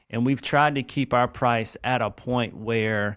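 A man speaks with a South Carolina accent at a fairly slow pace, his pitch varying in an ordinary way. The recording is very clean, with a silent background. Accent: Southern US (South Carolina). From US South, Lexington, South Carolina. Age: 40s. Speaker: youth running program founder. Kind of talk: casual interview.

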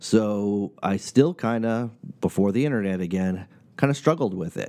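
A man with an American accent speaks at a fairly slow pace in a fairly low pitch, with ordinary pitch variation and a dark, mellow tone. The recording is very clean, with a silent background. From New England, US. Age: 40s. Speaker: podcast host. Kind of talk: casual monologue.

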